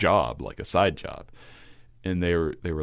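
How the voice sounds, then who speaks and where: Over a quiet background, a man with an American accent talks at a moderate pace in a very deep, low pitch with vocal fry. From Kentucky, small manufacturing town. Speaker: composer and classical radio announcer. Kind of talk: podcast interview.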